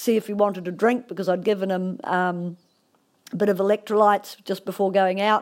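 A New Zealand accent at a moderate pace, monotone and flat in intonation, on a very clean recording with a silent background. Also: woman. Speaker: endurance rider. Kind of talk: recorded personal story.

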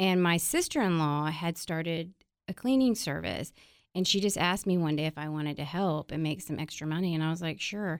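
On a very clean recording with a silent background, a woman with an American accent and an ordinary speaking voice talks at a fairly quick pace, her fairly low pitch showing ordinary variation. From Texas, San Antonio. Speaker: cleaning products entrepreneur. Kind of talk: casual interview.

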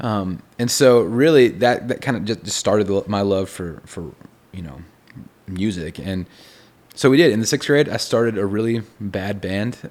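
A man with a fairly low pitch and a Texan accent, lively intonation, big swings in loudness, and a moderate pace. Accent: Texan American. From Texas. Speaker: songwriter and producer. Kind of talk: casual interview chat. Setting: in person, writer condo.

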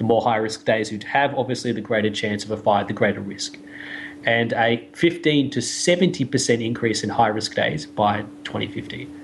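A man with an Australian accent, ordinary pitch variation, and noticeable background noise. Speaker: science podcast co-host. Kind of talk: explanatory casual chat.

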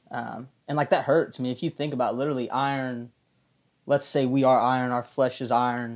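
A man with a Southern US accent talks at a fairly quick pace and medium pitch. His intonation is monotone and flat, in a very clean recording with a silent background. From Arkansas, US South. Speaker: college ministry intern. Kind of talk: casual chat.

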